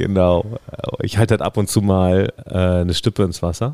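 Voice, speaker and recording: Very deep and low in pitch, a man's voice carries a dark, mellow tone and fairly even intonation in a dry, close sound with no echo. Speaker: podcast participant. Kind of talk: casual chat.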